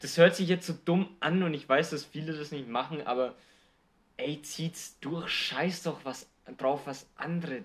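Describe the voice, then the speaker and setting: Very slow in pace, a man talks at a fairly high pitch with ordinary pitch variation. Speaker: podcast co-host. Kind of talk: casual chat.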